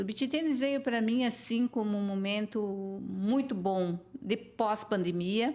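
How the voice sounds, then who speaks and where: A woman with an unremarkable speaking voice talks at a fairly slow pace, using ordinary pitch variation. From southern Brazil (Paraná). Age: 60s. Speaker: businesswoman. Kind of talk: interview.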